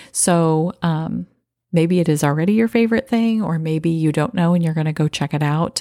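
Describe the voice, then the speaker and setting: Fairly low in pitch, a woman speaks with a dark, mellow, calm and soothing tone, recorded dry and close with no echo on a very clean recording with a silent background. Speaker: podcast host. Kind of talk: guided meditation. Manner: calm, soothing.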